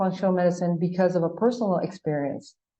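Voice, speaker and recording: A woman speaks in a Spanish accent. Her medium-pitched voice moves at a fairly quick pace. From Paraguay. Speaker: gynecologist. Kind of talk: podcast interview.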